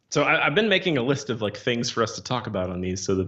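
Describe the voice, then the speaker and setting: Speaking at a very fast pace, a man with a slight Missouri accent has a fairly low pitch. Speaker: comic book writer. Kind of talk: casual chat.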